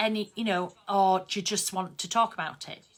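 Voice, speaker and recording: A woman talks at a moderate pace with a Yorkshire accent. Her tone is bright and sharp. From Yorkshire, northern England. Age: 50s. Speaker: craft artist and online host. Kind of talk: casual live-stream chat. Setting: Facebook live video stream. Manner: chatty, conversational.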